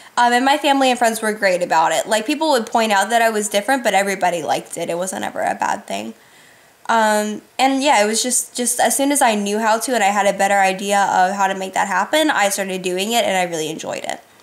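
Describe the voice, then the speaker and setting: Amid noticeable background noise, a woman talks at a very fast pace with a fairly high pitch and ordinary pitch variation. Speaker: YouTuber. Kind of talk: casual Q&A vlog.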